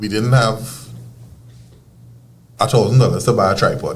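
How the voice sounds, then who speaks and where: A man with a Trinidadian accent sounds somewhat breathy, with audible room echo around him. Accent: Trinidadian, kept. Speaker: field hockey coach. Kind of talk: casual interview chat.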